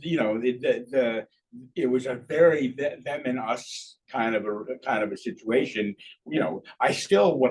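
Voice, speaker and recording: This is a man speaking. His intonation is lively. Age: 60s. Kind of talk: q&a discussion. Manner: halting.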